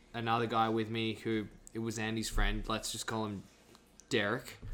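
A man's bright, sharp voice in an Australian accent at a fairly slow pace. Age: 20s. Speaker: actor. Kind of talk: casual chat.

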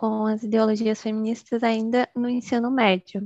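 At a moderate pace, a woman uses an ordinary speaking voice with fairly high pitch, recorded with a dry, close sound with no echo. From Bahia, Brazil. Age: 20s. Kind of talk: casual interview.

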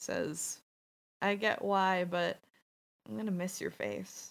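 In a put-on character voice, a woman speaks at a fairly slow pace with a raspy, medium pitch. The recording is very clean with a silent background. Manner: affectionate, shy.

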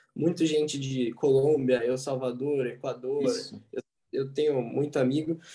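An ordinary speaking voice from a man, fairly high in pitch, with fairly even intonation and a fairly slow pace. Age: 20s. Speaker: university student and startup founder. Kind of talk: casual chat.

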